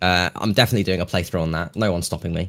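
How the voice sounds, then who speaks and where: A man speaks with a British accent on a very clean recording with a silent background. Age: 18. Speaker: YouTuber and streamer. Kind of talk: casual chat.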